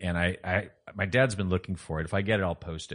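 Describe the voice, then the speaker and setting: This man has a plain, everyday voice with a fairly low pitch. He talks at a moderate pace against a quiet background. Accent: American. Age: 50s. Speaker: car enthusiast, former pathology lab worker. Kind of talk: casual chat.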